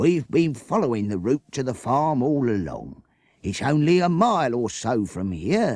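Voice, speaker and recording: Putting on a character voice, a man speaks at medium pitch and a moderate pace. His pitch swings very widely. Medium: read story. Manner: practical, matter-of-fact.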